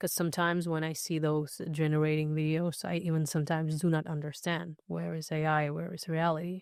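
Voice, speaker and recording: A woman with a very deep, low pitch and a non-native accent, at a fairly quick pace with hardly any pauses, fairly even intonation, and a quiet background. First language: not English. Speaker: dancer and singer. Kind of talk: podcast interview. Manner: halting.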